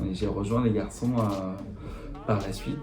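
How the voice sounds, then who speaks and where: Heard through noticeable background noise and audible room echo, a man with a fairly low pitch speaks at a moderate pace. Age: 30s. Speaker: insurance agent. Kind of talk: interview monologue. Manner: halting, many fillers.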